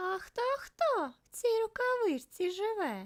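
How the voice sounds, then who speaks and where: A squeaky, put-on character voice from a woman, extremely high in pitch, at a fairly slow pace. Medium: read story. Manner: quiet, shy.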